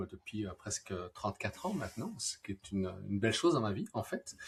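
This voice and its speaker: A somewhat breathy man with a slight Belgian accent. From Belgium. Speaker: neuroscientist. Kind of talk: live-stream interview. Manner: hesitant, many fillers.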